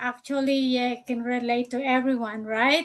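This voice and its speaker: A woman with a Filipino accent speaks in a high pitch with fairly even intonation. The background is quiet. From Philippines. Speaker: nurse and online business coach. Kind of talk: live stream panel discussion. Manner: hesitant, many fillers.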